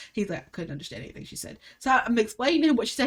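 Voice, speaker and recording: A woman with a strong Alabama accent, a very fast pace, very wide pitch swings and an animated tone. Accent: thick Alabama Southern. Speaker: podcast host. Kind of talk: casual chat.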